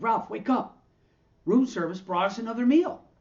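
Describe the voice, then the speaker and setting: A put-on character voice, raised and projected. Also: man, extremely high pitch for a man, moderate pace. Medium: read story.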